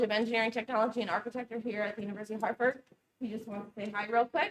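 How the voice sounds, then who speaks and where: A woman speaks with fairly even intonation. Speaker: engineering professor. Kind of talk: event welcome. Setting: university building with audience. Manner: many filler ums.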